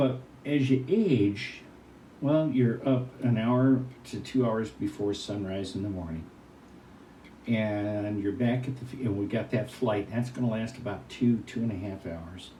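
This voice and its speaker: Somewhat breathy, a man speaks fairly slowly at medium pitch with ordinary pitch variation, and the room echo is audible. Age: 70s. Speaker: retired hot air balloon event announcer. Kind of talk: interview.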